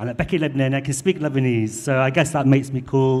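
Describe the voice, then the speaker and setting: With a Mancunian accent, a man speaks at a fairly quick pace, his medium pitch carrying fairly even intonation. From northern England, Manchester. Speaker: magazine editor. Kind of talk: panel discussion.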